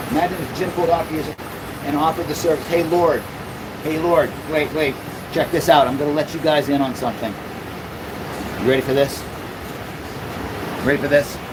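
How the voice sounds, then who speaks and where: Someone with an American accent talks with long, frequent pauses over noticeable background noise. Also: man, fairly high pitch for a man. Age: 50s. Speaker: mobile dog-exercise business owner, livestreamer. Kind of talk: livestream chat reading viewer comments. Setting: inside a climate-controlled van.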